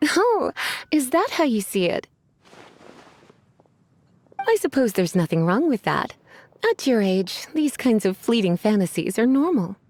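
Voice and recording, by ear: A put-on character voice with big pitch swings, a slightly mellow tone, a fairly slow pace and long, frequent pauses. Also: woman, fairly high pitch for a woman.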